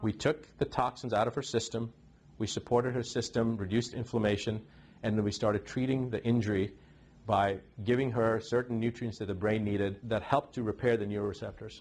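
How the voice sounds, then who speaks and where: An unremarkable speaking voice belongs to this man, pitched at a medium level. He talks at a fairly quick pace with fairly even intonation. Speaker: physician. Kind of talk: interview answer.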